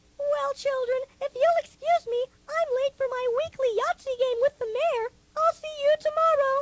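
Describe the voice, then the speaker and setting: Putting on a squeaky character voice at an extremely high pitch, a woman speaks at a moderate pace with lively intonation, in a dry, close sound with no echo. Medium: audio drama. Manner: warm, sweetly formal.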